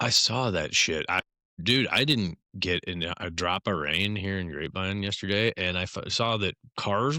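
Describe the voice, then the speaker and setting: A man speaks with an American accent, his tone bright and sharp and his intonation lively. The recording is very clean, with a silent background. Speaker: podcast host. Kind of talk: casual chat. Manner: animated.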